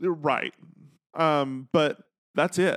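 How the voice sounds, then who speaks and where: A normal speaking voice with ordinary pitch variation moves at a fairly slow pace on a very clean recording, with a silent background and a dry, close sound with no echo. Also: man. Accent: American. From Texas. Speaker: podcast host. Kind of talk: casual chat. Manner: humorous, sarcastic.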